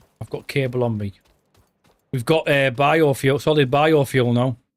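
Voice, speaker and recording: A man's medium-pitched voice with fairly even intonation, at a fairly slow pace. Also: long, frequent pauses. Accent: Teesside. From northern England, Redcar (Teesside). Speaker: gaming streamer. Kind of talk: live stream gameplay commentary. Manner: casual, chatty.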